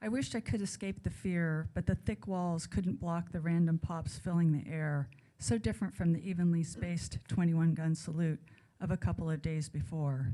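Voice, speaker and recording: A woman speaks at a moderate pace in a dark, mellow, somewhat breathy tone with ordinary pitch variation. The recording is very clean, with a silent background. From raised abroad and California. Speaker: author. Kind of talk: reading aloud. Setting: stage with audience.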